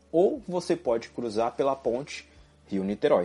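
Pitched in a medium range, a man talks at a moderate pace with very wide pitch swings, vocal fry and a dark, mellow tone. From Brazil. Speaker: podcast host. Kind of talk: solo monologue podcast.

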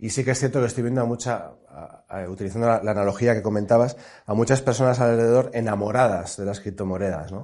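Speaking at a very fast pace, a man with a medium-pitched, dark, mellow tone keeps fairly even intonation but shows big swings in loudness. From Navarre, Spain (Pamplona). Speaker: fund selection executive. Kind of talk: interview. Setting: studio at a business school.

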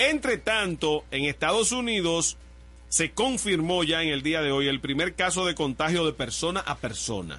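Lively intonation at a fairly slow pace, with a bright, sharp tone over a quiet background. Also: man. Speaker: radio host. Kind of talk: casual chat. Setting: radio studio.

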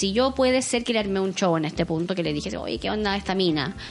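Someone with a Chilean accent talks at a fairly quick pace with lively intonation over noticeable background noise. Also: woman. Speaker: podcast host. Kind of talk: casual chat.

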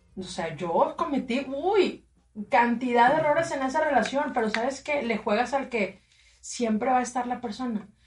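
A woman's high-pitched voice with lively intonation, delivered at a moderate pace. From Matamoros, Mexico. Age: 30s. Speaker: radio presenter. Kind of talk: casual chat.

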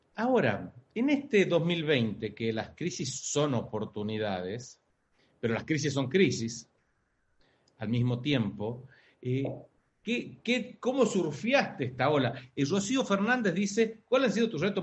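A fairly high-pitched male voice with an Argentine accent, somewhat breathy, with very wide pitch swings and a fairly slow pace. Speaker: podcast host. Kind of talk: interview.

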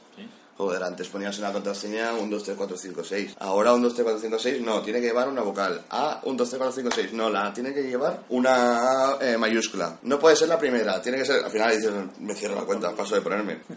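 Over noticeable background noise, a man talks at a fairly quick pace. His pitch is medium, with ordinary variation. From Catalonia, Spain (Cubellas, Barcelona). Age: 30s. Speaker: IT technician. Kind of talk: casual interview. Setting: office room full of computers.

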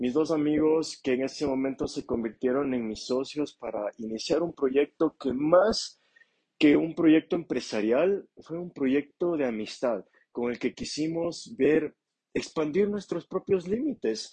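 A man's fairly high-pitched voice with a dark, mellow tone, lively intonation, a fairly slow pace, and a dry, close sound with no echo. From Ecuador, Ambato. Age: 20s. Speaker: entrepreneur. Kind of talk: unscripted solo monologue. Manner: halting.

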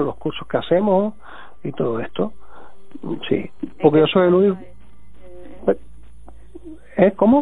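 The speaker is a man at a moderate pace. His pitch variation is ordinary. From Cuba. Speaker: tarot teacher and singer-songwriter. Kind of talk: interview. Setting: phone call.

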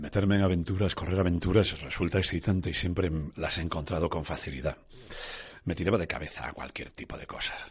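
Against a quiet background, a man with a very deep, low pitch speaks at a fairly quick pace, somewhat breathy, with ordinary pitch variation. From Asturias, northern Spain. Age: 60s. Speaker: rock musician. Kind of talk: testimony.

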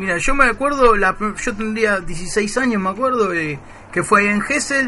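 A high-pitched man's raised, projected voice over noticeable background noise. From Buenos Aires, Argentina. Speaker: community radio host. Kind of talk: casual radio show. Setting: radio studio.

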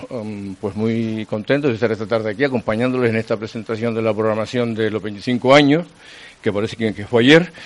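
Speaking at medium pitch, a man keeps a moderate pace with ordinary pitch variation. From Canary Islands (Teror, Gran Canaria). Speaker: retired radio journalist. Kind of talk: casual interview.

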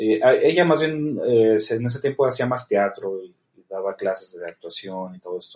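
A man with a normal speaking voice, lively intonation, a moderate pace, hardly any pauses and big swings in loudness. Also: medium pitch for a man. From Mexico, Tijuana. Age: 30s. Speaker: film director. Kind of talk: interview.

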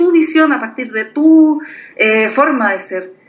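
Through noticeable background noise comes a woman's high-pitched voice with lively intonation. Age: 30s. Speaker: blogger. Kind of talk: casual chat.

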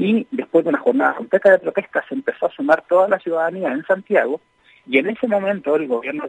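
Racing at a very fast pace, a man with a high pitch makes very wide pitch swings, the sound dry and close with no echo. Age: 30s. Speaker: popular educator. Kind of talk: interview.

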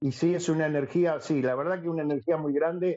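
A man with a fairly high pitch speaks at a moderate pace in an unremarkable speaking voice. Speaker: singer and actor. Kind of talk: casual chat.

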